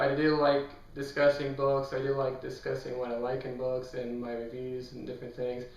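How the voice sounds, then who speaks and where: A man talks at a fairly quick pace and medium pitch, with monotone, flat intonation. His loudness swings widely, and the room echo is audible. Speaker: book youtuber. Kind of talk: casual vlog talk.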